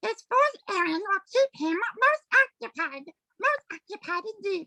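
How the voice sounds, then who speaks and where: A woman's squeaky put-on character voice, extremely high in pitch with very wide pitch swings, in a dry, close sound with no echo. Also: moderate pace. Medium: stage play. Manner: pompous, grandiloquent.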